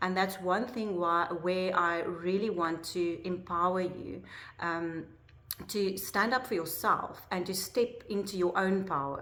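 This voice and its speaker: In a room with audible echo, a woman with a South African accent speaks at a fairly slow pace in a medium-pitched, bright, sharp voice with fairly even intonation. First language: Afrikaans. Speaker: life coach. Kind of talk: personal vlog talk to camera. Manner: hesitant, many fillers.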